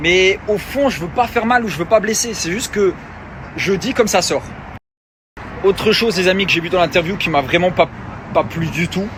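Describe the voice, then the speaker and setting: With a high pitch, a man speaks at a moderate pace, leaving long, frequent pauses. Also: ordinary pitch variation. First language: Luxembourgish (speaking French). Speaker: reality TV personality and influencer. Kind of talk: social media rant.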